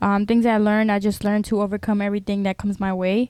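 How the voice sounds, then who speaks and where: On a very clean recording with a silent background, a woman speaks at a medium pitch in a dark, mellow tone with monotone, flat intonation. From Honduras and US, Honduran immigrant family. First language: Spanish. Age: 20s. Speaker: YouTuber. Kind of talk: casual interview. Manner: hesitant, many fillers.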